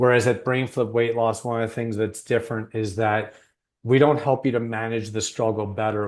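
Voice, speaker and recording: Against a quiet background, a man with a plain, everyday voice speaks at a medium pitch with fairly even intonation. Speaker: weight loss coach, program founder. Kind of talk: client interview.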